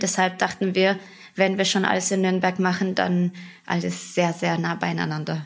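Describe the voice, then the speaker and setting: Speaking at a moderate pace, a woman has a medium-pitched voice. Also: very clean recording, silent background. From western Germany, Bonn. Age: 20s. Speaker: food franchise owner. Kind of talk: casual interview.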